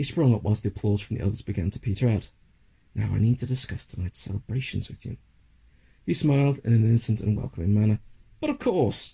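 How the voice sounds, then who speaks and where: The voice is somewhat breathy and dark, mellow in tone, moving at a very fast pace with ordinary pitch variation. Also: man, medium pitch for a man. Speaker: audiobook narrator. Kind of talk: literary audiobook reading of a fantasy short story. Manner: measured, dramatic storytelling pace.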